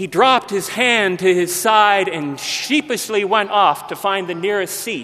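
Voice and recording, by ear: A passage read aloud in a natural voice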